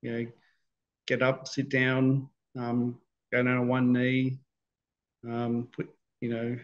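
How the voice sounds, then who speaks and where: A man with an Australian accent, very slow and monotone, flat in intonation, with long, frequent pauses. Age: 50s. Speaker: stroke survivor. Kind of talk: interview. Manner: halting, many fillers and repetitions. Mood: calm, reflective. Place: home room. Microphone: video call.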